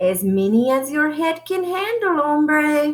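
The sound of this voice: In a put-on character voice with a Spanish accent, a woman speaks high-pitched and fairly slowly, her pitch swinging very widely.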